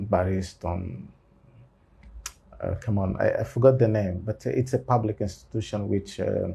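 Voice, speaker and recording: With a dark, mellow, somewhat breathy tone, a man speaks at a fairly low pitch with ordinary pitch variation and long, frequent pauses. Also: moderate pace. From Angola. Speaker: lawyer and university lecturer. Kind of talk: interview. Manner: halting, many fillers.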